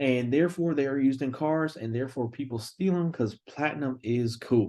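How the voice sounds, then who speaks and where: A man's dark, mellow tone at a moderate pace, with ordinary pitch variation and a quiet background. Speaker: engineering student. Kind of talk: class presentation. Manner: casual.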